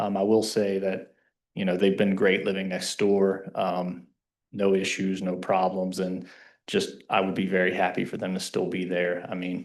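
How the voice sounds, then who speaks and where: Man with a Kentucky accent, a very deep, low pitch, monotone, flat intonation, and a moderate pace, over a quiet background. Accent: Southern US (Kentucky). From Kentucky, US South. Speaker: resident speaking at public comment. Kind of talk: public comment at council meeting. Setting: township council meeting.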